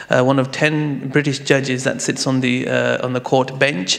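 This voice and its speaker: Through noticeable background noise, a man speaks in a London accent. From London, England. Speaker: Islamic finance lawyer and judge. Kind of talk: conference presentation. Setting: conference hall in Istanbul. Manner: hesitant, many fillers.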